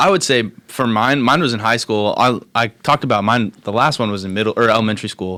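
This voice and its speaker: Talking very fast with hardly any pauses, a man with an American accent has a medium-pitched, bright, sharp voice and ordinary pitch variation. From Kansas (Hays). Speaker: college student podcast co-host. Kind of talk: casual chat.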